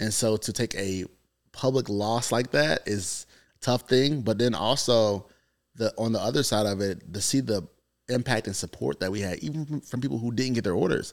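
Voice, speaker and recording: An unremarkable speaking voice from a man with an American accent, fairly low in pitch, moves at a fairly quick pace with lively intonation in a very clean recording with a silent background. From North Carolina, US South. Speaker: entrepreneur and content creator.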